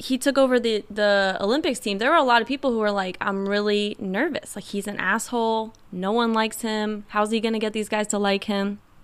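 On a very clean recording with a silent background, a woman with a fairly high pitch and an unremarkable speaking voice speaks at a moderate pace with ordinary pitch variation. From rural Indiana, Kentucky family. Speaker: guest. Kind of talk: casual chat.

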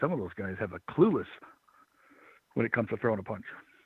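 A man talks with vocal fry and very wide pitch swings. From Michigan, raised in Florida from childhood. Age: 50s. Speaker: former pro wrestler. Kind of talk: interview.

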